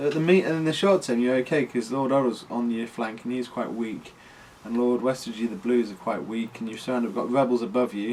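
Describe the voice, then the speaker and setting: A man with a British accent at a fairly quick pace, medium in pitch with ordinary pitch variation. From Britain. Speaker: game adviser, ukulele teacher. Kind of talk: casual gaming chat.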